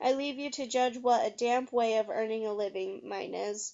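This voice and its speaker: A put-on character voice speaks at a moderate pace with fairly even intonation. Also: woman, fairly high pitch for a woman. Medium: read story. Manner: gruff, blunt.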